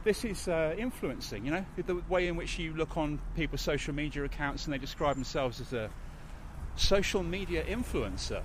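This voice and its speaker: A high-pitched man with a slight London accent, lively intonation and a fairly quick pace. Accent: London, slightly geezerish. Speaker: podcast host. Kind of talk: casual chat. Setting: studio.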